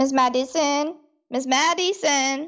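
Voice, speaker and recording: Putting on a character voice, a woman speaks at a high pitch and a fairly slow pace with fairly even intonation. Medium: audio drama.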